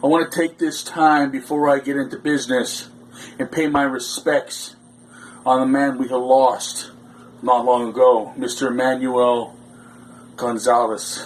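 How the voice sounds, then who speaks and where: Pausing long and often, a man talks at a fairly slow pace and medium pitch with fairly even intonation. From Canada. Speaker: pro wrestler. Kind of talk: wrestling promo.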